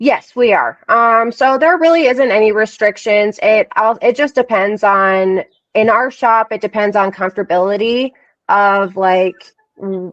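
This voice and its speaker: A woman with an unremarkable speaking voice talks at a fairly high pitch and a fairly slow pace, with ordinary pitch variation and a dry, close sound with no echo. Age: 30s. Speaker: tattoo artist. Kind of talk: casual chat.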